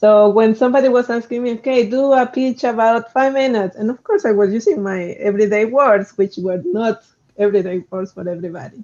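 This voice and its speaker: Someone speaks at a fairly quick pace with a strong non-native accent. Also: hardly any pauses. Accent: strong foreign. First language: not English. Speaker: roboticist, researcher. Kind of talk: panel discussion.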